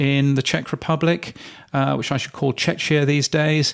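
Very clean recording with a silent background, featuring a man with a British accent and a fairly high pitch. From Britain. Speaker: podcast industry news editor and host. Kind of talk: casual chat. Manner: hesitant, many fillers.

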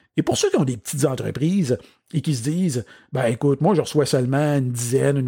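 A man with a Quebec accent has a somewhat breathy, dark, mellow tone and a fairly high pitch with ordinary variation. The sound is dry and close with no echo, in a very clean recording with a silent background. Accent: Québécois French. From Quebec, Outaouais (Papineauville). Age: 40s. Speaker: podcast host and business speaker. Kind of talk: solo podcast monologue.

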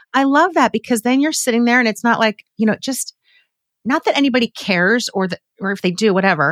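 A woman's fairly high, animated voice at a very fast pace, lively in intonation, with a dry, close sound and no echo. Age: 50s. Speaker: podcast host. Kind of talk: casual chat.

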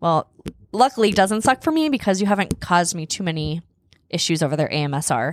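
Loud and animated, a woman talks very fast at a medium pitch with very wide pitch swings, in a dry, close sound with no echo. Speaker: podcast co-host, mother of the other host. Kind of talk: casual chat. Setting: studio.

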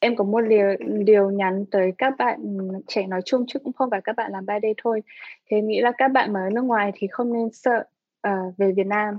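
A woman with a normal speaking voice goes at a fairly quick pace, her fairly high pitch staying fairly even. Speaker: visual artist and creative director. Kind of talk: interview.

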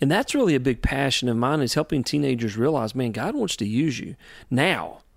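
Speaking in a Southern US accent, the voice moves at a fairly quick pace with ordinary pitch variation. The recording is very clean, with a silent background. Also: man, medium pitch for a man. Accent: US South. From North Carolina. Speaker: youth ministry leader. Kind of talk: interview. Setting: on location in a historic theater.

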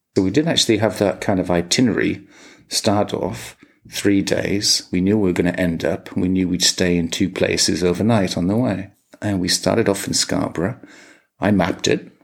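With an English accent, a man speaks at a moderate pace in a very deep, low pitch. His pitch variation is ordinary. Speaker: podcast co-host. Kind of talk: casual chat.

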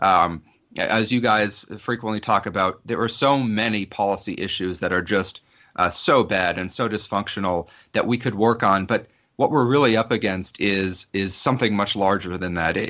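A man's fairly low voice with an American accent, at a moderate pace with ordinary pitch variation. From southwestern Virginia, Appalachia. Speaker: congressional candidate. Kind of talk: interview. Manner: halting.

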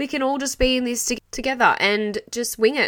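An animated woman with an Australian accent, on a very clean recording with a silent background. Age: 20s. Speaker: podcast host and small business owner. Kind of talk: solo podcast monologue.

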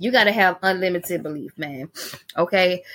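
A woman speaks in an animated, bright and sharp tone. The recording is very clean with a silent background. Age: 40s. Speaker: cleaning business podcast host. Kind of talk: casual motivational talk.

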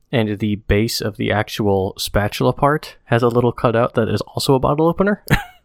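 With lively intonation and a medium pitch, a man talks at a fairly quick pace in a dry, close recording with no echo. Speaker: podcast co-host. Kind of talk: casual chat. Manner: projects well.

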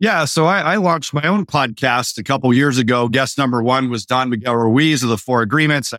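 A plain, everyday voice from a man, medium in pitch, with ordinary pitch variation, very even loudness, a fairly quick pace and hardly any pauses, on a very clean recording with a silent background. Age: 50s. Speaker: marketer and entrepreneur. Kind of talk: casual interview.

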